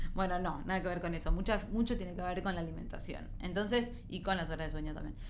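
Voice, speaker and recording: A woman with a Rioplatense accent talks at a very fast pace and a medium pitch with fairly even intonation. Audible room echo and noticeable background noise surround her voice. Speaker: TV news segment contributor on nutrition. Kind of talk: casual interview chat.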